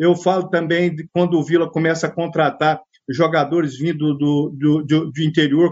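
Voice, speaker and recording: A man speaks at a fairly slow pace. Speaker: football fan. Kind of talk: interview.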